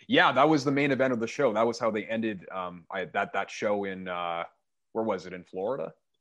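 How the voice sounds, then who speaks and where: Lively intonation and a fairly quick pace from a man with a Canadian accent, against a quiet background. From Canada. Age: 20s. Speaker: metal band musician. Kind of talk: casual chat.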